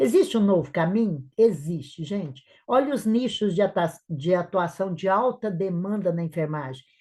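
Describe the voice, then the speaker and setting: A woman with a medium pitch speaks in a somewhat breathy, dark, mellow tone with lively intonation over a quiet background. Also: moderate pace. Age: 60s. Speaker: nurse and entrepreneur. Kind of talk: live webinar talk. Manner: animated.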